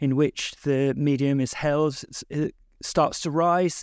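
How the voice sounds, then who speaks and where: Recorded very cleanly against a silent background, a man speaks in an unremarkable speaking voice at a fairly high pitch. The pitch varies in an ordinary way, and the sound is dry and close with no echo. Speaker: games writer and podcaster.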